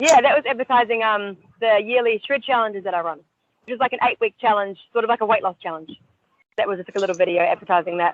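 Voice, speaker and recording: Someone with a New Zealand accent talks at a very fast pace. The intonation is lively. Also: woman, fairly high pitch for a woman. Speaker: personal trainer and ninja warrior competitor. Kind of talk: podcast interview.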